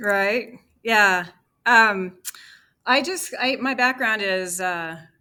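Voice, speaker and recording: A woman speaks at a very slow pace with a fairly high pitch and ordinary pitch variation. Her tone is bright and sharp on a very clean recording with a silent background. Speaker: presenter of a new political-economic plan. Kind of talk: casual chat.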